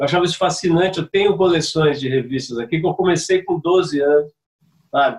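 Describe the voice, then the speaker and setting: A man speaks in a high voice. His pace is fairly quick. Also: ordinary pitch variation. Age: 50s. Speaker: communications veteran and former surf commentator. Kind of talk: casual interview chat.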